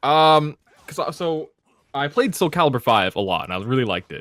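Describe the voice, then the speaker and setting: This man's pitch is fairly high. He speaks at a moderate pace. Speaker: fighting game player. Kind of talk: casual chat. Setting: podcast. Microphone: close to the microphone.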